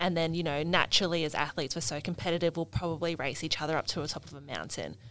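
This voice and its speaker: A woman speaks very fast with an Australian accent. Her pitch is very deep and low, and her intonation stays fairly even. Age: 20s. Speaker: athlete and camp helper. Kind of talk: casual chat.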